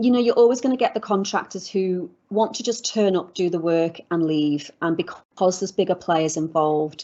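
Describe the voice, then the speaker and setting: With a British accent, a woman speaks at a moderate pace and medium pitch, her pitch variation ordinary. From UK. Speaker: legal expert and business founder. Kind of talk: interview conversation.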